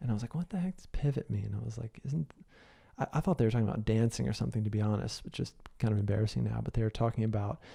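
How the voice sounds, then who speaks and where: Very fast and somewhat breathy, a man talks in a fairly low, dark, mellow voice with lively intonation. The recording is very clean, with a silent background. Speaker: podcast host and business coach. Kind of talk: solo podcast monologue. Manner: casual with many fillers.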